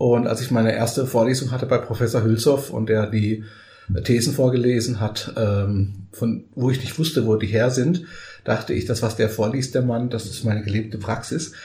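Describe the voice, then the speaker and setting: A somewhat breathy man's voice, dark and mellow in tone, with fairly even intonation and a moderate pace. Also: medium pitch for a man. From Germany, raised from age 3.5; Portuguese-born. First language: Portuguese (speaking German). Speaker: coach and trainer. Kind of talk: casual interview.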